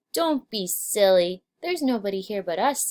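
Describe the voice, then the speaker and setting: Using a put-on character voice, this woman stays at a medium pitch. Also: moderate pace. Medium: read story.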